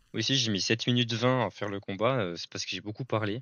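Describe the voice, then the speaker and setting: A man speaks with fairly even intonation. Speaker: gaming content creator. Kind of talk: gameplay commentary. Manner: fast.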